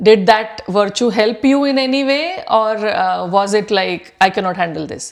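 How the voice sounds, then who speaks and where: Speaking at a moderate pace with hardly any pauses, a woman uses an ordinary speaking voice, fairly high in pitch, with lively intonation. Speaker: podcast host. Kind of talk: interview question.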